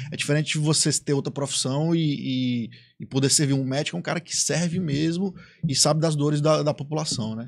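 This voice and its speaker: Against a quiet background, a man speaks in a fairly high, somewhat breathy voice. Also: fairly even intonation, fairly quick pace. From Ceará, Brazil. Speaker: podcast host. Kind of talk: casual interview. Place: studio. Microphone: studio mic.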